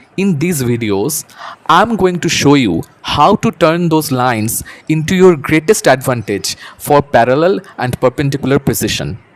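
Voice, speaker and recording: A man speaks at a moderate pace with lively intonation and a fairly high pitch. The sound is dry and close with no echo, though background noise is noticeable. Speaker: teacher. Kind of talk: educational tutorial narration. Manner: soft-spoken.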